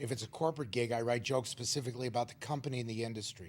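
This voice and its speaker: A man talks in a plain, everyday voice, medium in pitch with ordinary pitch variation. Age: 60s. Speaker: stand-up comedian. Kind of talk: talk show interview.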